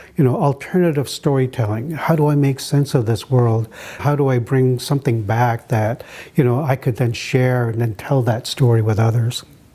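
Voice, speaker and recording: This man has a medium-pitched, somewhat breathy voice with a dark, mellow tone. He keeps a moderate pace, very even loudness and fairly even intonation. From Maliseet reservation, eastern Canada/Maine. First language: Maliseet. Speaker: anthropologist and artist. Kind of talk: interview. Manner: reflective, many fillers.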